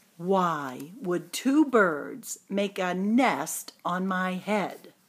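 A woman uses a put-on character voice. She speaks at a very slow pace. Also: fairly low pitch for a woman, lively intonation.

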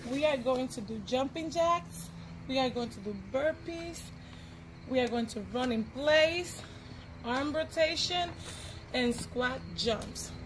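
The pace is very slow, with long, frequent pauses and ordinary pitch variation. Noticeable background noise runs underneath. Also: woman, high pitch for a woman. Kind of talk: instruction to a child and viewers. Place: street. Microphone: camera far.

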